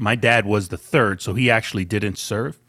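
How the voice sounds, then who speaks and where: In a normal speaking voice, a man talks at a moderate pace and a fairly low pitch on a very clean recording with a silent background. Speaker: podcast co-host. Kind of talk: casual chat.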